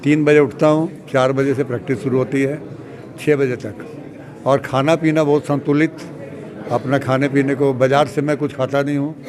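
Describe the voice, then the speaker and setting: Over noticeable background noise, a man speaks at a fairly high pitch. His intonation is monotone and flat. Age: 70s. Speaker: weightlifting athlete. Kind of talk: interview.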